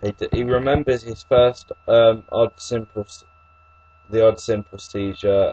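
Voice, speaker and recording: Slowish and flat in intonation, a man with an English accent speaks in a dry, close sound with no echo over noticeable background noise. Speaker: YouTuber discussing epilepsy. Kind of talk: reading aloud. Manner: halting.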